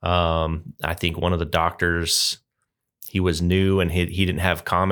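Delivered in a monotone, flat intonation, the speech comes through on a very clean recording with a silent background. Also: man. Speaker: Air Force Reserve member. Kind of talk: casual interview chat.

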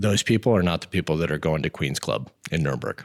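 With an American accent, a man talks at a fairly quick pace, his lively intonation marked by vocal fry. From Montana, US. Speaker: army command sergeant major. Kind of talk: interview podcast.

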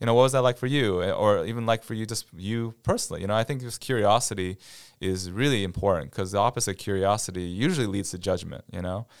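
On a very clean recording with a silent background, a man with a Midwestern accent and a fairly low voice speaks very fast. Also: ordinary pitch variation. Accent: General American (Midwest). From US Midwest, near Cleveland, Ohio. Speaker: military chaplain. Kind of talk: casual interview.

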